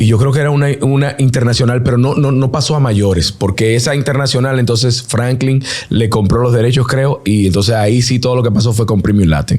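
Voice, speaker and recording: A man with a Dominican accent speaks at a fairly quick pace with very even loudness and hardly any pauses. Noticeable background noise is present. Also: ordinary pitch variation. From Dominican Republic, Santo Domingo area (Herrera). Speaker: singer and NBA commentator. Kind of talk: interview.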